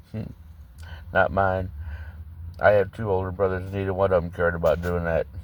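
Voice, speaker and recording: Someone speaks at a moderate pace with an American accent and monotone, flat intonation. The recording is very clean, with a silent background. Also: man. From St. Louis, Missouri. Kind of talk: casual storytelling to camera.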